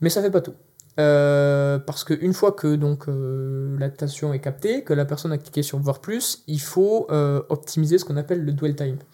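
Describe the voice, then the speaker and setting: At a moderate pace, a man's fairly high, somewhat breathy voice moves with ordinary pitch variation. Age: 20s. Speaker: LinkedIn content project manager. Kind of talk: interview. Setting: video studio.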